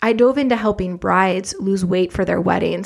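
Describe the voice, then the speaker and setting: Animated in tone and with vocal fry, a woman talks very fast. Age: 40s. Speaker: fitness business coach. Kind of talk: podcast monologue. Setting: home office. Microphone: big studio mic.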